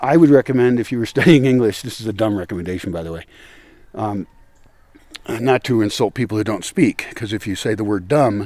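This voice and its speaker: With an American accent, a man speaks at a fairly quick pace and fairly low pitch. His loudness swings widely, while his pitch variation stays ordinary. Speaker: former English as a second language teacher. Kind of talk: casual talk to camera while walking outdoors. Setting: outdoors.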